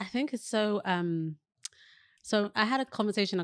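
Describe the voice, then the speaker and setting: Recorded very cleanly against a silent background, a woman's voice comes across dry and close with no echo. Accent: British. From West London, England. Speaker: digital wellbeing specialist and entrepreneur. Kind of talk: podcast interview.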